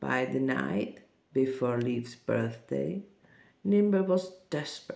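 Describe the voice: Lively intonation over plain reading aloud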